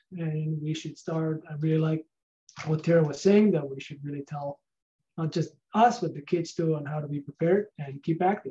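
This man speaks with a Spanish accent at a moderate pace, his pitch fairly high. His intonation stays fairly even, and his tone is dark and mellow. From Spain. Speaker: research scientist; presenter. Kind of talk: lecture on a video call. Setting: video call. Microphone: video call.

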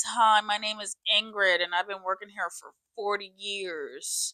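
Using a put-on character voice, a woman speaks at a fairly slow pace with a strained, weary tone, medium pitch, and fairly even intonation. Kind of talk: casual vlog chat, joking character voice. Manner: weary, unconfident. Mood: playful.

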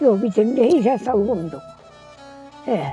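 Over music in the background, a woman with a fairly high pitch speaks very slowly with lively intonation. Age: 80s+. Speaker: village elder. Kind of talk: interview answer.

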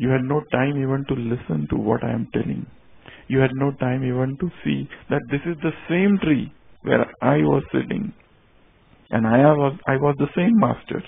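This man speaks at a moderate pace with a medium pitch and an Indian accent. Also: ordinary pitch variation. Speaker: spiritual teacher. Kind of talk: sermon. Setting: stage with audience.

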